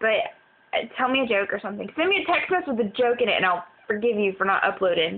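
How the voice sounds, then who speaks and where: Over noticeable background noise, a woman with a fairly high pitch speaks at a very fast pace, her voice making very wide pitch swings. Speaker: vlogger. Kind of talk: exasperated personal vlog rant about a broken iPod and computer. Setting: cell phone video recording. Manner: frustrated, venting, sighing heavily; deflated and weary, trailing off between complaints. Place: home room. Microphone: phone near.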